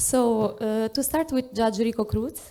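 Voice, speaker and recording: A woman with a fairly high pitch and a dark, mellow tone speaks at a fairly slow pace with fairly even intonation. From Italy. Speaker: panel moderator, human rights lawyer. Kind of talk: conference panel moderation. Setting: stage at a conference with audience. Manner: frequent hesitations (uh, um).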